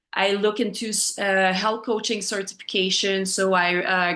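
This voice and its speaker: A woman speaks in a French accent with a bright, sharp tone. Her intonation is fairly even, over a quiet background. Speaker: health coach. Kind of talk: personal testimony in a group call. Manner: halting, many fillers.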